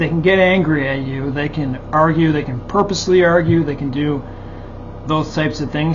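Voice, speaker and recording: Noticeable background noise and audible room echo surround a man with a fairly high voice. He speaks at a moderate pace with fairly even intonation. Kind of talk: personal monologue. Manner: halting, repetitive.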